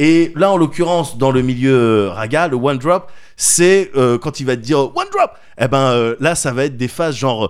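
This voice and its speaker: This man has a plain, everyday voice with a fairly high pitch. He speaks at a moderate pace with ordinary pitch variation. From France. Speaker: podcast co-host. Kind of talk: casual chat.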